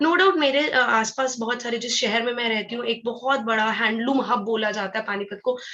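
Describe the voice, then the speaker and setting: A woman's fairly high voice at a moderate pace, ordinary pitch variation and hardly any pauses, over noticeable background noise. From Haryana, India (Panipat). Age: 20s. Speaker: network marketing distributor. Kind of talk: motivational talk.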